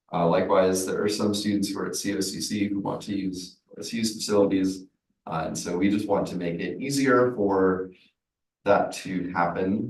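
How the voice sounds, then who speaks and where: A man's ordinary speaking voice, fairly low in pitch, with fairly even intonation. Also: moderate pace. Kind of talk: public comment at committee meeting.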